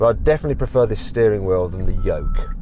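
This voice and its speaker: A man speaks with a West Midlands accent. He goes at a very fast pace with lively intonation. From West Midlands, England. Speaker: car reviewer. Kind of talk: driving review commentary. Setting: in a car. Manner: casual, conversational.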